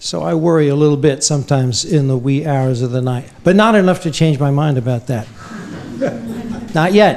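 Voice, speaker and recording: Over noticeable background noise and audible room echo, a man with a fairly high voice speaks at a moderate pace with lively intonation. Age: 60s. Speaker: historian. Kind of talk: Q&A after lecture.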